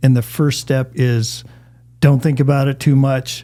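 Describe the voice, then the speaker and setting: A man with an American accent has a fairly high pitch, a dark, mellow tone and fairly even intonation. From Northwestern Wisconsin. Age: 60s. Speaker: entrepreneurship professor. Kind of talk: casual interview chat.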